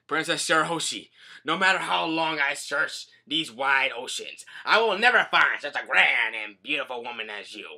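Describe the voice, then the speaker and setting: Using a put-on character voice, a man talks at a moderate pace with a fairly high pitch. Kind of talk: formal, theatrical. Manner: grand, flirtatious.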